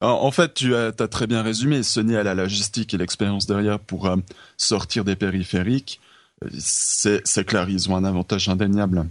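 A man talks in an ordinary speaking voice, fairly low in pitch, with ordinary pitch variation and a moderate pace. His loudness stays very even over a quiet background. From Switzerland. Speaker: esports federation representative. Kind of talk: casual chat.

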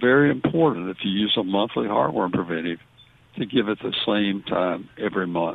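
With a Southern US accent, a man speaks at a moderate pace in a fairly low pitch with lively intonation. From US South. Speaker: veterinarian. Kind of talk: call-in radio show.

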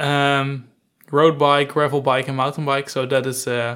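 A man speaks in a Dutch accent. His pitch is fairly high and his pace fairly slow. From Netherlands, near Gouda. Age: 20s. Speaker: data analytics consultant. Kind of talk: interview.

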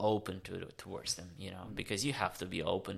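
A man in a Romanian accent has a fairly low pitch and a bright, sharp tone. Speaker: explorer and long-distance cyclist. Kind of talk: casual interview. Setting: in person studio. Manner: halting, many fillers.

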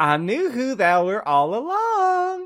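A put-on, cackling character voice, fairly high in pitch, with very wide pitch swings and a fairly slow pace. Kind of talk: archaic, old-fashioned speech. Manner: evil, sarcastic.

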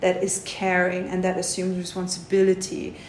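Audible room echo around a woman's voice at a medium pitch. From East Germany. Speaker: tantra teacher. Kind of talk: interview.

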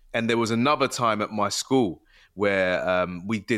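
Heard in a very clean recording with a silent background, a man with a plain, everyday voice talks at a moderate pace and fairly low pitch with ordinary pitch variation. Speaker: guest. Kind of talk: casual chat.

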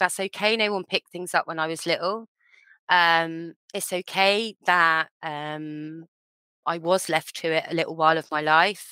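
In an English accent, a woman reads at a fairly slow pace with a fairly low pitch, fairly even intonation and a bright, sharp tone, on a very clean recording with a silent background. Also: dry, close sound with no echo. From England. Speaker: children's author. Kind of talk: interview.

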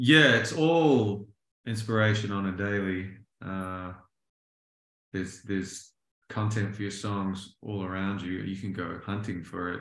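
Long, frequent pauses break up a man's fairly slow, fairly low-pitched speech, which has ordinary pitch variation and audible room echo. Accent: New Zealand. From New Zealand. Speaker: songwriter and producer. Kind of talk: interview.

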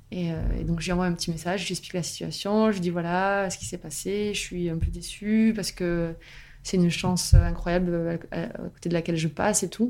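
A woman at a fairly low pitch and fairly quick pace, with fairly even intonation, in a very clean recording over a silent background. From southern France, Albi. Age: 30s. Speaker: novelist. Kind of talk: interview, casual chat. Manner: hesitant, many fillers.

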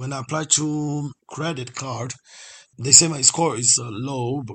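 At a fairly slow pace, a man speaks in a medium pitch with a somewhat breathy voice and fairly even intonation. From Brazil. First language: Portuguese. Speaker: courier driver. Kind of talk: personal testimony.

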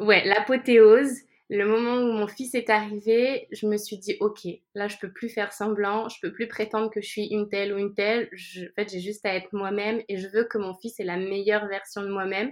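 Her pitch is fairly high, and she keeps a moderate pace. The woman's intonation stays monotone and flat. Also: big swings in loudness. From France. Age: 30s. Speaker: life coach and yoga teacher. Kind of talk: casual interview.

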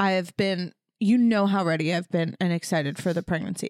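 In a very clean recording with a silent background and a dry, close sound with no echo, a woman with an ordinary speaking voice talks at a moderate pace and medium pitch. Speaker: podcast host, expectant mother. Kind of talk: casual chat between partners.

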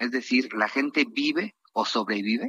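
This man's fairly high voice has a bright, sharp tone and lively intonation, recorded with a dry, close sound and no echo. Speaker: politician. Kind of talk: radio interview.

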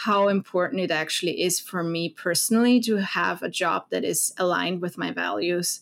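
Speaking at a moderate pace, a woman with a German accent keeps her intonation fairly even. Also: very clean recording, silent background. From Austria, Vienna. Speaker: foreign policy program director. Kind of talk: interview.

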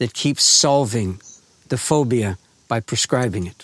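A man at a medium pitch and a fairly slow pace, with a dry, close sound with no echo. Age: 60s. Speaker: author and grief educator, farmer. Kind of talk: interview. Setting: remote recording at his farm.

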